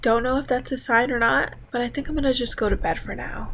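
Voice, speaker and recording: Her voice is fairly high-pitched, with vocal fry. The woman speaks at a moderate pace. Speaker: reddit story narrator. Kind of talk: casual talk to camera.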